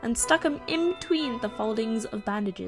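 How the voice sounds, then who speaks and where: A woman with a southern English accent and an upbeat tone, very wide pitch swings, a moderate pace and music in the background. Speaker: YouTuber, singer-songwriter. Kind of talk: DIY tutorial talk to camera. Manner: upbeat, casual.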